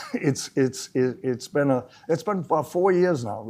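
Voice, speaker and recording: With ordinary pitch variation, a man's voice carries a dark, mellow tone. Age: 70s. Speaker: local historical society trustee. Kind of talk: interview. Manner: halting, with frequent repetitions.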